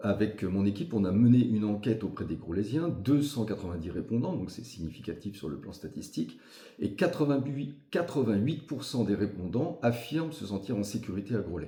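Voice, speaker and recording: In a room with audible echo, a man with a dark, mellow, somewhat breathy tone and fairly low pitch talks at a moderate pace, his pitch swinging very widely. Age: 60s. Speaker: local election candidate. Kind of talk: interview. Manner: hesitant with frequent fillers.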